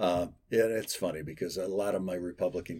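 A man speaks in a very deep, low pitch with vocal fry. He has an American accent. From western Michigan. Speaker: former state lawmaker. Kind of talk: interview.

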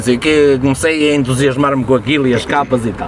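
A man's medium-pitched voice, its intonation fairly even, comes through noticeable background noise. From Portugal, rural Viseu district. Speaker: metal musician. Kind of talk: casual chat.

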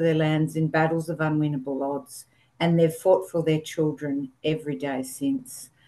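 Fairly low in pitch, a woman with an Australian accent speaks at a moderate pace with fairly even intonation. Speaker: social work researcher. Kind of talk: webinar presentation.

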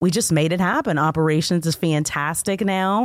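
A woman's normal speaking voice, fairly low in pitch, at a moderate pace with ordinary pitch variation, in a very clean recording with a silent background. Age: 40s. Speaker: logistics account manager. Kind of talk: interview.

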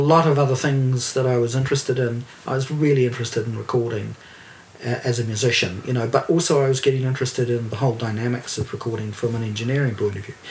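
A man with a New Zealand accent talks at a very fast pace in a medium pitch, his intonation fairly even, with noticeable background noise behind him. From New Zealand, Dunedin. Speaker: record producer and label owner. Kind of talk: casual chat.

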